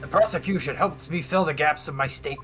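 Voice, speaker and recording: Over clear background noise, a man rattles along at a very fast pace in a put-on character voice. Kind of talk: comic overacting. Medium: game stream. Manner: jokey, rambling.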